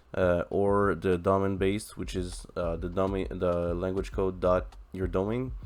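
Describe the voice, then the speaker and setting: Very deep and low in pitch, a man speaks with a French accent and monotone, flat intonation. His pace is fairly slow, yet he leaves hardly any pauses. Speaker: tech YouTuber, software developer. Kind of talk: coding tutorial. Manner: halting, many fillers.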